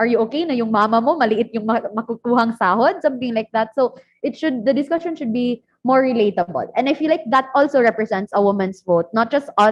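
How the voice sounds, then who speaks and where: Very fast and fairly high in pitch, a woman speaks with ordinary pitch variation. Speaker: student government leader. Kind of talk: panel discussion.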